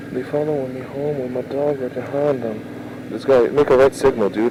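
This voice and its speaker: A man speaks quietly at a moderate pace, his pitch fairly high. Noticeable background noise sits behind him. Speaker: motovlogger. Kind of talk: casual vlog narration while riding.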